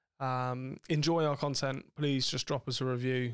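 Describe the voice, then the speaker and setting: In a very clean recording with a silent background, a man with an ordinary speaking voice talks at a moderate pace and a fairly high pitch. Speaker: podcast host. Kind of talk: casual chat. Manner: swears a lot, joking.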